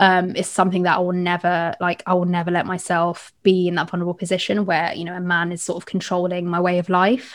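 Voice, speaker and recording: In a London accent, a woman with fairly low pitch talks very fast in a flat monotone, hardly pausing, on a very clean recording with a silent background. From London (East London). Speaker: podcast host. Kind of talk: interview conversation.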